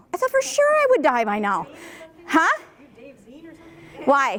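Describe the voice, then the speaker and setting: Female speech at an even, moderate tempo, with clear background noise. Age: 60s. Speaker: activist group organizer. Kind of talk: meeting facilitation. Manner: animated.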